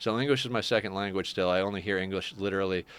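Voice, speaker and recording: The man's voice sits at a fairly low pitch and carries a bright, sharp tone. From Canada. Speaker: gaming streamer. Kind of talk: live gameplay stream chat. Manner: casual, conversational.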